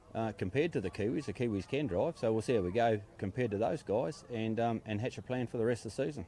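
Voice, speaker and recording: A man with a New Zealand accent talks at a very fast pace with hardly any pauses, a medium pitch and ordinary pitch variation. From New Zealand, Wanganui. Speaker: boat racing driver. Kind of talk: interview. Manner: casual.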